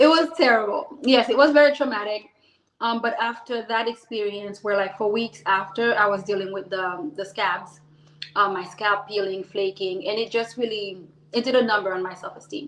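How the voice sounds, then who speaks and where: With a slight Haitian accent, a woman talks at a moderate pace in a fairly high pitch with ordinary pitch variation. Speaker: business owner. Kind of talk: interview. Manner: animated.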